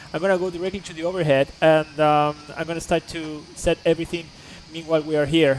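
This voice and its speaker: Noticeable background noise accompanies a man with a Spanish accent speaking at a moderate pace, high in pitch with fairly even intonation. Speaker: flight simulator streamer. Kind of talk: live stream tutorial. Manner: halting with many fillers.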